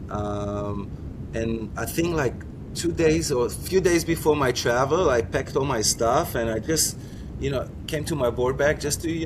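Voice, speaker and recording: Lively intonation from a man at medium pitch and a fairly slow pace, with noticeable background noise and audible room echo. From Israel. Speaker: foiler and former Olympic windsurfer. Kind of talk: interview. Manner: halting, many repetitions.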